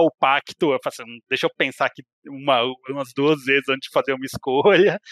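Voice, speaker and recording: A man with an unremarkable speaking voice, fairly high pitch and fairly even intonation at a moderate pace, in a very clean recording with a silent background and a dry, close sound with no echo. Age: 30s. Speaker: video game enthusiast and RPG specialist. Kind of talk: casual chat.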